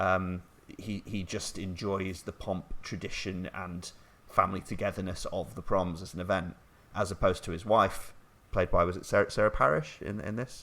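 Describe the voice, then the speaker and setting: A man with a northern English accent talks at a moderate pace in a very deep, low pitch. His tone is bright and sharp, and his intonation is fairly even. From northern England, half Scottish. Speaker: podcast host. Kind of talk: casual chat. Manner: halting.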